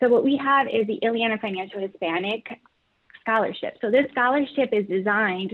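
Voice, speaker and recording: A woman with an American accent, a plain, everyday voice, fairly high pitch, ordinary pitch variation and a moderate pace. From Chicago Heights, Illinois. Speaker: credit union professional. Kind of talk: panel discussion.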